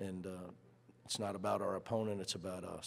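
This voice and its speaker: Speaking at a moderate pace, a man uses a fairly low voice with monotone, flat intonation. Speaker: head basketball coach. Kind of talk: press conference opening statement. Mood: calm, satisfied. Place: hall. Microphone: podium.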